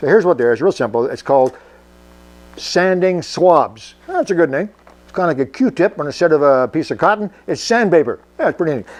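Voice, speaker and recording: The man's pitch is high and his intonation lively. He talks at a fairly quick pace. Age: 70s. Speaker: workshop tinkerer video host. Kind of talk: casual product demo. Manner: halting, with filler words.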